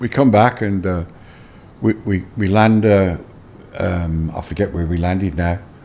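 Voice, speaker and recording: The speaker, with a Birmingham accent, talks at a moderate pace. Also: man. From England, Birmingham. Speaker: former tour manager. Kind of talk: interview. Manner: halting, many fillers and repeats.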